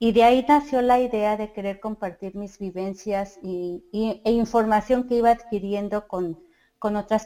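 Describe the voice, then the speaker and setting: The recording is very clean with a silent background, and a woman speaks at a medium pitch in a dark, mellow tone with fairly even intonation. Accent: Mexico City. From Mexico City. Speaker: mother and community group organizer. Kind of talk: interview.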